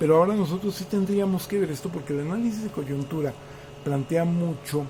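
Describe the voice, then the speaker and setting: A man talks fairly quickly in a high pitch, varying it in an ordinary way, while noticeable background noise carries on behind him. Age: 60s. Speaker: political commentator. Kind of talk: political commentary monologue. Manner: hesitant, many fillers.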